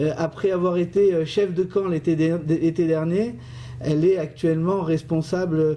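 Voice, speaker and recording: A man with a fairly high pitch, fairly even intonation and a fairly slow pace, over noticeable background noise. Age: 50s. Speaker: business owner and community election candidate. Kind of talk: radio interview. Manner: hesitant, with fillers and repetitions.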